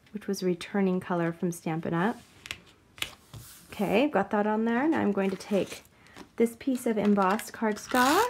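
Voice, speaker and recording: A soft-spoken woman at medium pitch, moderate pace and ordinary pitch variation, with long, frequent pauses and noticeable background noise. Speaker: card-making crafter. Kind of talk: tutorial. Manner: soft-spoken today; talking softly.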